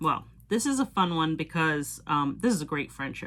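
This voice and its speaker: On a very clean recording with a silent background, a woman with a slight Cape Cod accent speaks at a fairly low pitch with lively intonation. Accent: Cape Cod (Boston area) accent, slight. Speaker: Disney pin collector YouTuber. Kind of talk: casual show-and-tell video. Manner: casual, with fillers like um.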